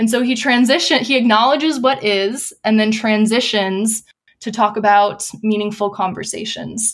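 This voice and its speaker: Delivered at a moderate pace, this is an unremarkable speaking voice with fairly even intonation. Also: woman, fairly high pitch for a woman. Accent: American. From US Midwest (Wisconsin). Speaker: nonprofit program director. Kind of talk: interview.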